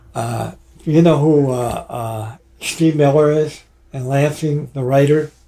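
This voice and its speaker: At a very slow pace, a man talks with a fairly high pitch. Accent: American. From Michigan. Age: 80s+. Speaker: rock drummer. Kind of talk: casual interview. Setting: studio. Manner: halting.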